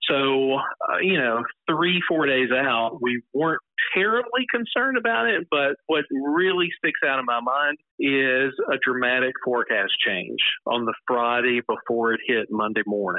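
At a fairly slow pace, a man speaks with medium pitch and lively intonation. His loudness stays very even. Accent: Southern US. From Mississippi (Natchez). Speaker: TV meteorologist. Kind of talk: interview.

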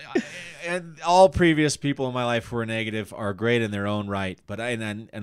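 A man with an unremarkable speaking voice, lively intonation and a fairly quick pace, on a very clean recording with a silent background. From Colorado, Denver area. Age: 30s. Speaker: comedian. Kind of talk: casual chat.

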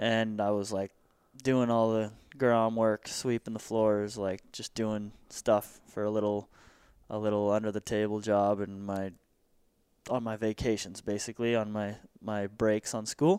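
A man with a Southern California accent speaks fairly slowly in a flat monotone. The recording is very clean and dry, close, with no echo and a silent background. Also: fairly low pitch for a man. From US West Coast. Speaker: mountain bike media and industry worker. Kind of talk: casual interview.

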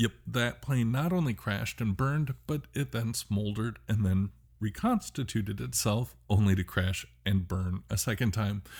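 In a very clean recording with a silent background, a man with a fairly low, somewhat breathy voice speaks at a moderate pace with lively intonation and hardly any pauses. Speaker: podcast host and painter. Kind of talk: solo podcast monologue. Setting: home art studio.

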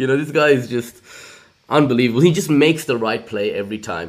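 A man talks at a very fast pace. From India. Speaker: basketball podcast co-host. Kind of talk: casual podcast chat.

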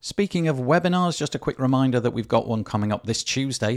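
The speaker has a British accent and very wide pitch swings. The recording is very clean, with a silent background. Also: man. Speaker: podcast host. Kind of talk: interview.

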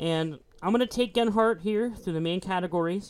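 Pitch rises and falls in an ordinary way as this man talks. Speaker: podcast co-host. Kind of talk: casual chat.

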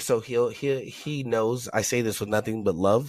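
An animated man at a fairly slow pace, on a very clean recording with a silent background. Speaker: podcast co-host and football coach. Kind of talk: casual chat.

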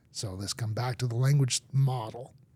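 A somewhat breathy, dark and mellow male voice at medium pitch on a very clean recording with a silent background. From Argentina. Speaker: marketing executive and sales coach. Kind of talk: casual interview.

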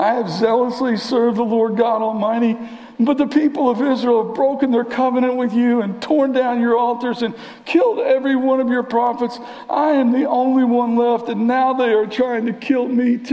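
A put-on, whiny character voice from a man, extremely high in pitch, at a moderate pace. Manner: whiny, complaining.

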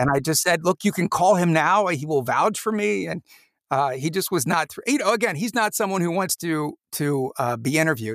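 With lively intonation and an animated tone, a man with a high voice speaks in a very clean recording with a silent background and a dry, close sound with no echo. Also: fairly quick pace. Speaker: podcast host and voiceover artist. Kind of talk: casual interview chat. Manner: animated storyteller.

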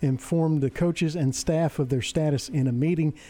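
The speaker is a man with a fairly high pitch. Music plays in the background. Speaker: radio co-host. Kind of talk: news reading.

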